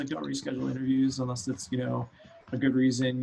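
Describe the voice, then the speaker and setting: With noticeable background noise behind him, a man talks at medium pitch with ordinary pitch variation. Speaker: CEO of a consulting company. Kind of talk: interview. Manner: fast.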